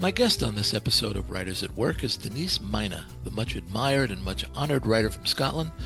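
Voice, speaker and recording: With music in the background, a man races along at a very fast pace, his fairly low voice making very wide pitch swings. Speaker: podcast host. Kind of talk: podcast intro read.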